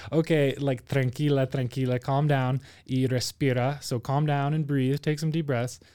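A voice with a dark, mellow tone speaks at a moderate pace in a monotone, flat intonation and very even loudness, recorded very cleanly against a silent background. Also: man, fairly high pitch for a man. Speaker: podcast host and doctor. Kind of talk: casual chat, language-learning podcast.

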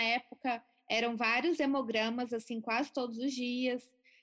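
Her voice pitched high, a woman talks fairly slowly. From Brazil, Goiânia (Goiás). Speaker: physician, cancer survivor. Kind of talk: interview testimony.

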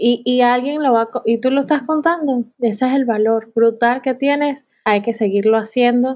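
The speech runs with hardly any pauses, very even loudness and fairly even intonation. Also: woman, high pitch for a woman, moderate pace. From Venezuela. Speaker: graphic designer. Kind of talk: casual interview conversation.

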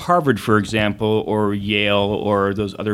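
Using an unremarkable speaking voice, a man talks at a moderate pace. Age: 40s. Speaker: ophthalmologist. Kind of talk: casual chat.

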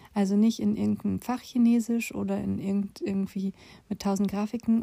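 A woman's somewhat breathy, dark and mellow voice moves at a fairly quick pace in a dry, close recording with no echo. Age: 40s. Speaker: podcast host, former nurse and patient advocate. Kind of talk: personal monologue. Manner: casual, with frequent fillers.

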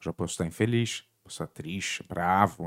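A man with a Rio de Janeiro accent and a very deep, low pitch talks at a moderate pace, recorded very cleanly with a silent background and a dry, close sound with no echo. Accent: carioca. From Rio de Janeiro, Brazil (born in Lisbon). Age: 40s. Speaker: podcast host. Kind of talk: casual interview.

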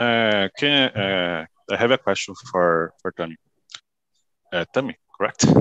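A man's fairly low voice with ordinary pitch variation, a fairly slow pace, long and frequent pauses, and a dry, close sound with no echo. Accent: Brazilian. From Brazil. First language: Portuguese. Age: 20s. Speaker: manufacturing engineer. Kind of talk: group video call, English practice. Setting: video call. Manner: halting.

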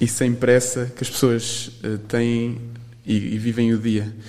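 Over noticeable background noise, a man talks very slowly at a medium pitch. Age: 20s. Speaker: university student and volunteer. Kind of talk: interview. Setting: studio. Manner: halting.

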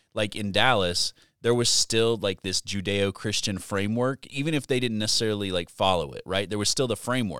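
A normal speaking voice from a man, fairly low in pitch with ordinary pitch variation and a moderate pace, the sound dry and close with no echo on a very clean recording with a silent background. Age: 40s. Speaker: student pastor. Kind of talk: casual chat. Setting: studio.

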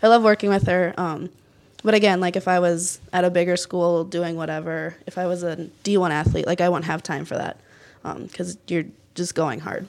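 Speaking at a moderate pace with a Minnesota accent, a woman uses a fairly low pitch and fairly even intonation in a very clean recording with a silent background. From northern Minnesota, near Duluth. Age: 20s. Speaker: college softball player. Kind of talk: interview.

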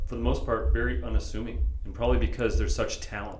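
There is audible room echo and noticeable background noise as a man speaks with an American accent. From San Diego, California. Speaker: podcast host. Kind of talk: casual interview. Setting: shaping room with echo. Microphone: a bit of echo.

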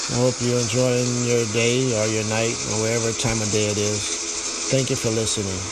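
A gentle tone moves at a moderate pace with hardly any pauses, against noticeable background noise. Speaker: meditation podcaster. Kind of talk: guided prayer meditation, spoken affirmations. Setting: solo recording, podcast. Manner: gentle, repetitive, devotional, reassuring.

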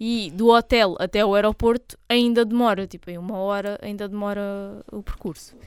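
Moderate pace, hardly any pauses, big swings in loudness, and an ordinary speaking voice. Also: woman, medium pitch for a woman, fairly even intonation. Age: 20s. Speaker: podcast co-host. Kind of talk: casual chat.

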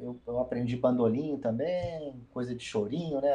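At a moderate pace, a man with a medium pitch speaks in a somewhat breathy voice with a dark, mellow tone. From Rio de Janeiro, Brazil. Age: 50s. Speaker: musician. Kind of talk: interview.

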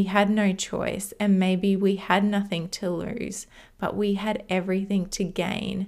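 Someone with an Australian accent speaks at a fairly slow pace on a very clean recording with a silent background. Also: woman. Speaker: podcast host. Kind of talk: solo monologue podcast.

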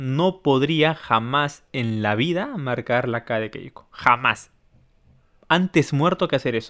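A man with a plain, everyday voice talks at a fairly high pitch, showing ordinary pitch variation. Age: 30s. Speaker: podcast host. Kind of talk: casual chat.

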